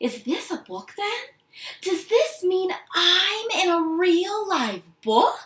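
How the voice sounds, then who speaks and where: A woman puts on a squeaky character voice, extremely high in pitch, soft-spoken and very slow. Her pitch swings very widely. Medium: read story.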